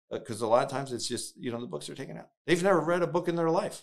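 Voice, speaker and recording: A man with an American accent talks at a very fast pace with lively intonation. His voice shows vocal fry. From New Jersey (northwest). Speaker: political staffer, former chief of staff. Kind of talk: interview. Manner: frequent fillers and hesitations.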